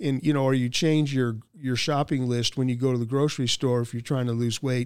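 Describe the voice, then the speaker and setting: An unremarkable speaking voice with fairly even intonation, in a very clean recording with a silent background. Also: man. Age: 60s. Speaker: training and leadership director. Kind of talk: interview answers, motivational talk.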